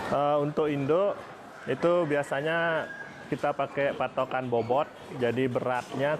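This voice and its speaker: Against noticeable background noise, a man with fairly high pitch speaks at a fairly slow pace, his intonation fairly even and his loudness very even. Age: 30s. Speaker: veterinarian and pig farmer. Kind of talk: interview.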